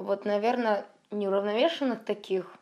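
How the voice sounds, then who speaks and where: On a very clean recording with a silent background, a woman speaks in a fairly high voice with fairly even intonation. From Russia, St Petersburg. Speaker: traveler and travel blogger. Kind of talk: interview storytelling.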